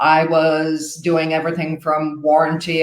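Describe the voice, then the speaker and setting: A woman speaks in an Irish accent at a very deep, low pitch. Her pace is fairly slow. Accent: Irish, retained. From Ireland, Dublin. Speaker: new home sales agent. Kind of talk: interview.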